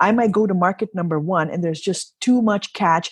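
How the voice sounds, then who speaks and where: A woman with a fairly low pitch speaks in an animated tone, her voice somewhat breathy against a quiet background. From Kenya. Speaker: entrepreneur and professional golfer. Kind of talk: interview.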